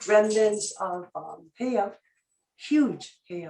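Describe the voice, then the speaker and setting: Speaking in a Hawaiian accent, a woman talks at a very slow pace. Her medium-pitched voice shows ordinary pitch variation. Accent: Hawaiian local English. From Hawaii, west side of Kauai. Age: 60s. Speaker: public testifier, traditional healer. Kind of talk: public hearing testimony. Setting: video conference. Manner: halting, many fillers.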